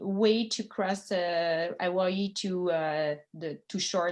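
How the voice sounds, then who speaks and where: A woman with a Quebec accent, against a quiet background. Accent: French-Canadian accent in English. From Quebec, Montreal. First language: French. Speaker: sailor and former college teacher giving a talk. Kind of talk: presentation to a club. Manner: halting with many fillers.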